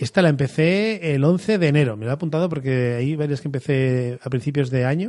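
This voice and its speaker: A man's fairly high voice with ordinary pitch variation, delivered at a very fast pace. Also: hardly any pauses. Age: 40s. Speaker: podcast host. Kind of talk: solo monologue.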